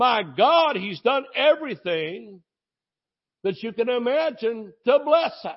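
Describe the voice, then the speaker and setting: At a very slow pace, a man speaks at an extremely high pitch, with very wide pitch swings and big swings in loudness. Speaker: preacher. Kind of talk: sermon. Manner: animated.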